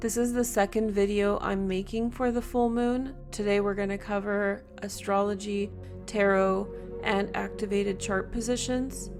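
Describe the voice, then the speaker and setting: A woman's medium-pitched, monotone, flat voice over background music. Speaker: tarot reader and astrologer. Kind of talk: tarot reading to camera. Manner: slow.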